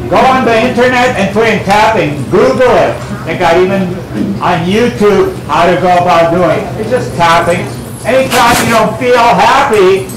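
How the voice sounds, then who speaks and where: A man talks at a fairly slow pace over noticeable background noise, with audible room echo. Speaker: guest. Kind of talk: lecture. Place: shop. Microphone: camera far.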